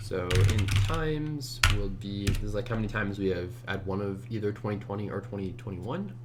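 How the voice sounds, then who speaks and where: Speech moves at a fairly quick pace with hardly any pauses and ordinary pitch variation, over noticeable background noise and audible room echo. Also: man, fairly low pitch for a man. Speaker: competitive programmer. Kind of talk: screencast commentary while coding. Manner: casual, halting with fillers.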